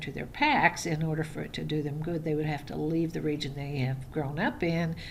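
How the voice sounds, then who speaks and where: At a moderate pace, a woman with a very deep, low pitch speaks with fairly even intonation amid audible room echo. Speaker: college writing instructor. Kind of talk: recorded lecture. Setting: screen-recorded video. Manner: hesitant, many fillers.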